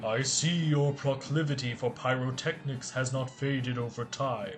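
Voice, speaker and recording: Over clear music in the background, a man uses a put-on character voice at medium pitch, with fairly even intonation and a moderate pace. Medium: read story. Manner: measured, lofty, archaic.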